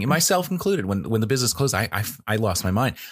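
A man's normal speaking voice at a fairly quick pace. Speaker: podcast host. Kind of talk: casual chat. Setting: remote call during quarantine. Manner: joking, extroverted.

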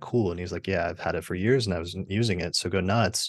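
Against a quiet background, a man talks at a very fast pace. His voice is very deep and low, with ordinary pitch variation. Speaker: astrologer and podcaster. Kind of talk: casual interview chat. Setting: video call.

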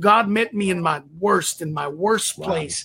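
Raised and projected, a man's voice carries a high pitch, a bright, sharp tone and an American accent. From Texas. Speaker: pastor. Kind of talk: interview.

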